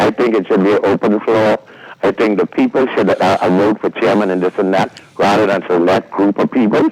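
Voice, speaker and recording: The sound is dry and close with no echo as a man talks at a fairly quick pace and very even loudness over noticeable background noise. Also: fairly low pitch for a man. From Bahamas. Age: 70s. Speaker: caller. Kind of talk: call-in talk show. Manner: animated.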